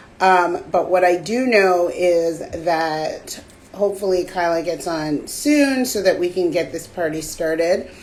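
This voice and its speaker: Audible room echo surrounds a woman speaking at a fairly slow pace with a fairly low pitch. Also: ordinary pitch variation. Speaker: podcast co-host. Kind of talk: casual chat. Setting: live stream video call.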